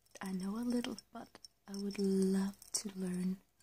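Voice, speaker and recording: A soft-spoken woman talks at a very slow pace. Her medium pitch carries fairly even intonation. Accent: Danish. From Denmark. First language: Danish. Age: 20s. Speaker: ASMR creator. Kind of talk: ASMR soft-spoken Q&A tag video. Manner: hesitant.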